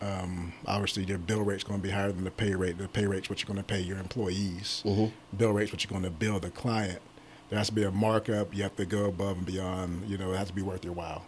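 Talking very fast in a monotone, flat delivery, a man with an American accent uses a fairly low pitch and a somewhat breathy voice. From Pittsburgh, Pennsylvania. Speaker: staffing agency owner. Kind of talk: interview.

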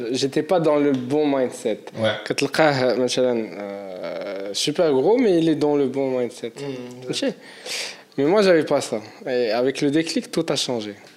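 Noticeable background noise sits under a man talking at a very slow pace. His voice is fairly high-pitched, with lively intonation. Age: 20s. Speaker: entrepreneur and world traveller. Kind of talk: casual interview chat.

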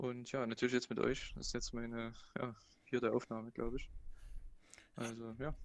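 A man at medium pitch, monotone and flat, moving at a moderate pace with long, frequent pauses. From Saxony (Plauen, Vogtland). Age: 20s. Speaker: university student. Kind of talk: casual chat.

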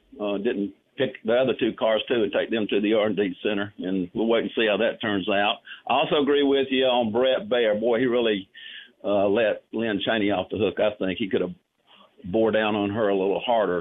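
Using a Southern US accent, a man speaks at a moderate pace and medium pitch, with fairly even intonation and very even loudness. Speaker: caller. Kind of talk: casual chat. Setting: phone call.

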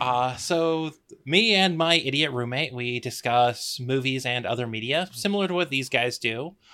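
At a moderate pace, a man with a medium pitch uses a plain, everyday voice with ordinary pitch variation. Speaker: guest podcaster. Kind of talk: casual chat. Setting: video call.

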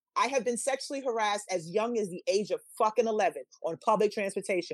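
Animated in tone, a woman with a New York accent comes through in a dry, close sound with no echo. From New York City, the Bronx. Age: 40s. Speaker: podcast guest, social media co-host. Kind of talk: casual chat.

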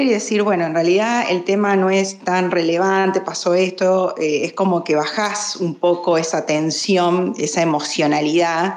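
A woman at medium pitch, very even in loudness, with ordinary pitch variation and hardly any pauses at a moderate pace, plus audible room echo and noticeable background noise. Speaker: lawyer. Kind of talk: casual discussion.

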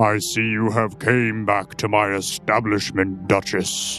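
Over clear music in the background, a man does a put-on character voice that is booming and raspy, fairly low in pitch, flat and monotone, and fairly slow. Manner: welcoming, loud.

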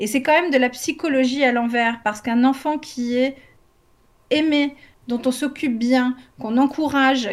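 A woman speaks with a high pitch at a fairly slow pace. Her pitch varies in an ordinary way. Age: 40s. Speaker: homeschooling parent and educational content creator. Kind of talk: casual chat.

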